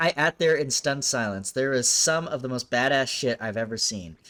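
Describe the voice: Ordinary pitch variation in plain reading aloud.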